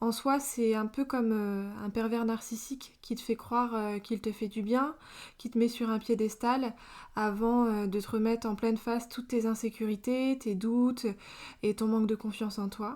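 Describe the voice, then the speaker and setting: Fairly high in pitch, a woman speaks at a moderate pace in a monotone, flat intonation. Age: 20s. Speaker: podcast host. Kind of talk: personal testimony. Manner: hesitant, many fillers.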